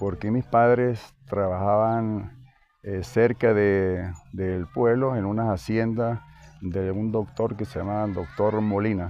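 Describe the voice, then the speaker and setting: A man speaks at a very slow pace. His pitch is fairly low, with ordinary pitch variation. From Venezuela, Andes (Zea, Mérida). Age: 70s. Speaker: interviewee, local townsman. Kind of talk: interview. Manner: hesitant, many fillers.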